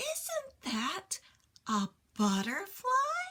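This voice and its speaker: A squeaky, put-on character voice. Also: woman. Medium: read story. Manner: motherly, gentle.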